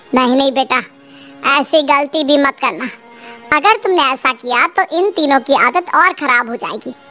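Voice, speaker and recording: A woman puts on a cartoonish character voice, high in pitch, at a moderate pace. Faint music sits in the background. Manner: motherly, persuasive.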